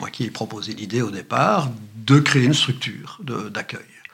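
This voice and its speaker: At a fairly slow pace, a man speaks in a medium pitch with lively intonation. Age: 60s. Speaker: retired journalist and journalism lecturer. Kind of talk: interview conversation.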